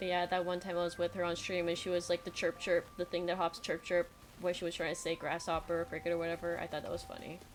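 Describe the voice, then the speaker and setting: Music plays in the background while the speaker talks at a very fast pace with hardly any pauses. The intonation stays monotone and flat. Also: woman, fairly low pitch for a woman. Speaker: streamer and digital artist. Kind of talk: casual chat. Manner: sounds serious even when joking.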